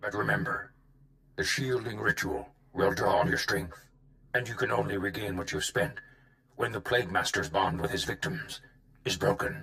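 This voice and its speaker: Doing a put-on character voice at medium pitch, a man talks at a moderate pace with long, frequent pauses. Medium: video game.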